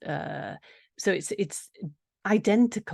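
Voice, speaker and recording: Over a quiet background, a woman with an English accent talks with ordinary pitch variation. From England. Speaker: nutritional therapist. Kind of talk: interview. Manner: halting.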